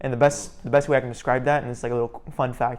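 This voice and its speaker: Speaking with an American accent, a man uses a medium pitch and an animated tone. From Florida with years in the Middle East. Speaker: YouTuber and student. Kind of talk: casual interview chat. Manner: animated, filler-heavy casual speech.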